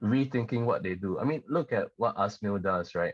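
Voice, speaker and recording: Over a quiet background, a man speaks with ordinary pitch variation in a dry, close sound with no echo. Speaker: singer-songwriter. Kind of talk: podcast interview.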